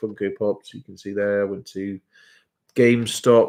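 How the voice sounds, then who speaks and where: Someone with an English accent talks at a moderate pace in a monotone, flat intonation. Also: man, very clean recording, silent background. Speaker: reseller. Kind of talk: live stream.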